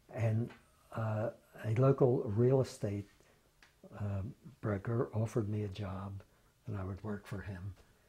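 A man speaks at a fairly slow pace with a dark, mellow tone and a fairly low, somewhat breathy voice. His intonation is fairly even, broken by long, frequent pauses. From Philadelphia. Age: 80s+. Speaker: retired state legislator. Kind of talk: oral history interview. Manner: halting, with many fillers. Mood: reflective, fond reminiscing. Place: home room. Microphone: lapel.

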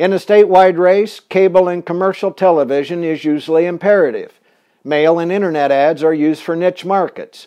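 Moving at a fairly quick pace, a man speaks with a high pitch and fairly even intonation. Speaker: political consultant. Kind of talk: scripted narration, tutorial. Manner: formal, measured, authoritative.

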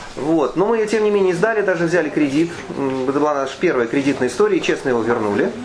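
A man with a fairly high voice talks at a very fast pace with lively intonation over noticeable background noise. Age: 50s. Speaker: author. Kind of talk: book presentation talk. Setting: bookstore event with audience. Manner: hesitant, filler-heavy.

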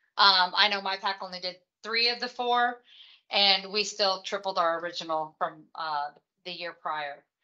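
A woman speaks in a bright, sharp tone at a moderate pace with ordinary pitch variation against a quiet background. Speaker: volunteer trainer presenting slides. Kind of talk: training presentation. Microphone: video call.

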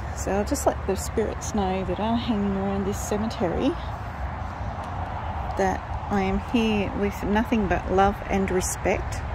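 A woman at a fairly slow pace, dry sound with no echo, noticeable background noise. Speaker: grandmother vlogger on a road trip. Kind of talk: casual vlog chat. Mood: gentle, respectful, slightly playful. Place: open country. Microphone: phone near.

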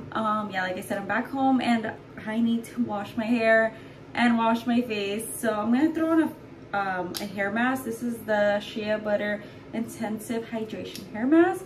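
Noticeable background noise sits behind a woman speaking. She talks at a moderate pace with ordinary pitch variation. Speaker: vlogger. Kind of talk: casual vlog chat. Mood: cheerful, chatty. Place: bathroom. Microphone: phone near.

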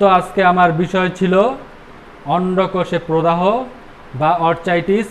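A man speaks with a high pitch. Light background noise can be heard. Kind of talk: health advice talk. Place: shop. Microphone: lapel.

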